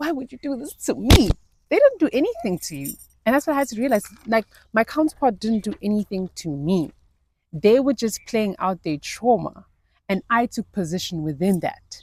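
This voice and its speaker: A woman at a moderate pace, animated in tone, with very wide pitch swings. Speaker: lifestyle vlogger. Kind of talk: casual vlog monologue. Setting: outdoors in nature. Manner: loud.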